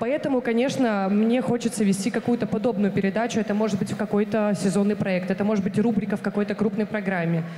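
A woman speaks very fast with hardly any pauses and very even loudness. Her intonation is fairly even, with audible room echo and light background noise. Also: medium pitch for a woman. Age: 20s. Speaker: TV presenter candidate at casting; TV presenter. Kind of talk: job interview / casting. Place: stage. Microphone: handheld.

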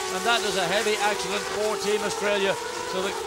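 A man talks at a very fast pace over loud background noise. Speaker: lead race commentator. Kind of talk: sports commentary. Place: booth.

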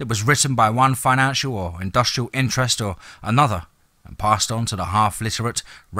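Natural voice reading aloud, normal pitch movement

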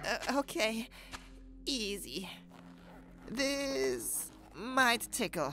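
A fairly high put-on character voice goes at a very slow pace with long, frequent pauses while music plays clearly in the background. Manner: anxious, hesitant.

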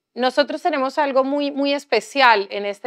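At a fairly slow pace, a woman speaks with ordinary pitch variation against a quiet background. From Colombia, Bahía Solano (Chocó); Chocó, Colombia. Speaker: writer and activist; speaker. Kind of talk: panel discussion. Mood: calm, reflective. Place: hall. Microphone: lapel.

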